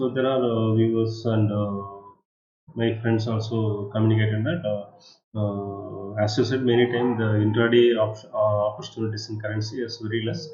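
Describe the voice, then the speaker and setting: Against audible room echo and music in the background, a man with a medium pitch speaks at a moderate pace in monotone, flat intonation. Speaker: trading channel host. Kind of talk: market analysis tutorial. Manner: halting, many fillers.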